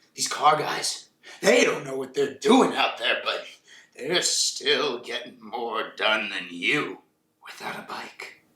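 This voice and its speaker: A put-on character voice at a very slow pace. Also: man. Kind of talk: parody of shouting cop-show boss. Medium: comedy sketch. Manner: brusque, barking.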